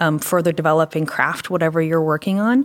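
A woman speaks with an American accent in a normal speaking voice. Her pitch is fairly low, with ordinary variation. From Pennsylvania. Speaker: retail merchandising director. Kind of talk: interview conversation.

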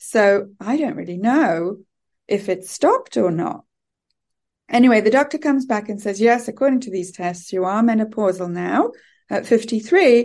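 Over a quiet background, a woman speaks at a fairly high pitch with lively intonation. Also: moderate pace. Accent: British. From UK. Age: 50s. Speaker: teacher and coach. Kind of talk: casual interview chat.

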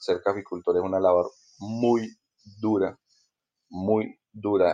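A man speaks with a fairly low pitch and a dark, mellow tone in a flat monotone, the sound dry and close with no echo and the background quiet. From Colombia, Ibagué (Tolima). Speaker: coffee grower. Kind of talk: interview.

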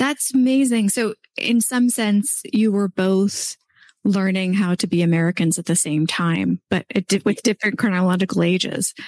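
A woman speaks in a plain, everyday voice at a medium pitch. She keeps a moderate pace with ordinary pitch variation. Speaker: podcast host. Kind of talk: casual interview.

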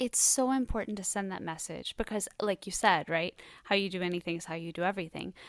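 This woman has an unremarkable speaking voice at a medium pitch. Her intonation is lively. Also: dry, close sound with no echo. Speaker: radio host and singer-songwriter. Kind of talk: interview host.

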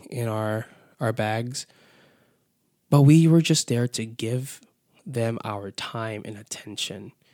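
Very slowly, a man talks at a medium pitch. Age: 20s. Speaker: podcast host and youth minister. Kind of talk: casual solo podcast talk. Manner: upbeat, lively. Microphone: new microphone.

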